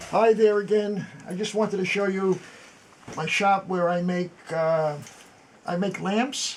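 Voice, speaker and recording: A man speaks at a high pitch and a fairly slow pace, with fairly even intonation and long, frequent pauses. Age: 80s+. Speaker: antiques restorer and Korean War veteran. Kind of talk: tutorial. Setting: workshop.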